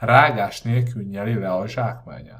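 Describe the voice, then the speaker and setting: A man speaks very slowly at a medium pitch. His voice is somewhat breathy. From Budapest, Hungary. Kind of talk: audiobook reading.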